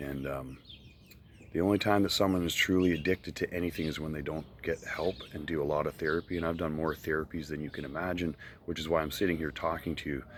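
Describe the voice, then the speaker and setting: A man's very deep, low voice with vocal fry, racing along at a very fast pace. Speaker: online video creator answering viewer questions. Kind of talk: casual talk to camera.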